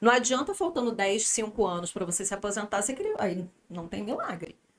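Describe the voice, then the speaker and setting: Noticeable background noise sits behind a woman speaking at a fairly quick pace. Her pitch is medium, with ordinary variation. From Brazil, Rio de Janeiro. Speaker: podcast guest, finance planner. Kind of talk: casual interview chat.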